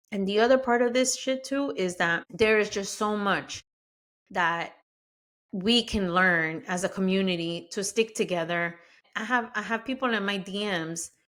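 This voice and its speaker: A woman with a Spanish accent speaks at a moderate pace in an animated tone, with medium pitch and ordinary pitch variation. The recording is very clean, with a silent background. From Mexico-born, raised in the US. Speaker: podcast host. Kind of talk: podcast monologue.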